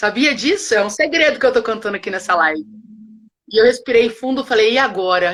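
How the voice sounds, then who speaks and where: The intonation is lively and the tone animated. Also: woman. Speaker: educator and teacher trainer, co-founder. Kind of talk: live online conversation. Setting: live stream. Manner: fast.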